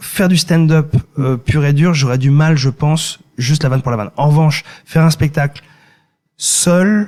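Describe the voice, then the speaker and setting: The delivery is somewhat breathy, with ordinary pitch variation. It moves at a moderate pace. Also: man. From France, Ile-de-France. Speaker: singer-songwriter and comedian. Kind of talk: podcast interview. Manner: halting, many repetitions.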